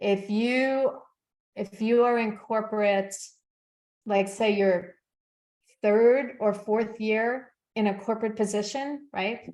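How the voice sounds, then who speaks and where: At a very slow pace with long, frequent pauses, a woman speaks in a fairly high pitch with fairly even intonation. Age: 60s. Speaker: success coach. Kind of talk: casual chat. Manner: halting.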